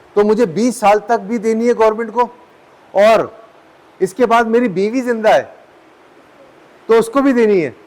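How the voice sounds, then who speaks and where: Amid noticeable background noise, a man with a high pitch and fairly even intonation leaves long, frequent pauses. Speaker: lecturer. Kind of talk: lecture. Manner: conversational, halting with self-corrections.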